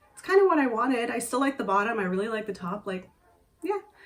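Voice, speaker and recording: There is noticeable background noise as a woman talks at a very fast pace. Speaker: sewing vlogger. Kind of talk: casual talk to camera.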